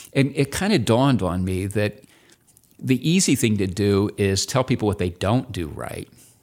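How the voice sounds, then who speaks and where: A man with an ordinary speaking voice talks at a moderate pace in a fairly low pitch with lively intonation, on a very clean recording with a silent background. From Indianapolis, Indiana. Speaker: retired drug industry scientist and academic. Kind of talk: interview.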